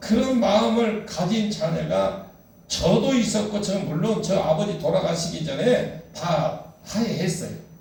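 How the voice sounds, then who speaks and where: Speech comes at a very slow pace with ordinary pitch variation, amid audible room echo and noticeable background noise. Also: man. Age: 60s. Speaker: pastor. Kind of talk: sermon.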